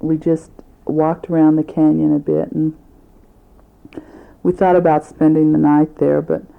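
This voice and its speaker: With monotone, flat intonation, a woman talks at a very deep, low pitch. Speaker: family member recording a tape for grandparents. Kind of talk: recorded family letter on tape. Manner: conversational with fillers.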